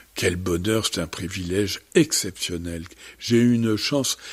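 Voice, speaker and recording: A man at a fairly low pitch, speaking at a very slow pace. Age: 70s. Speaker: bird conservation leader. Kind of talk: radio interview.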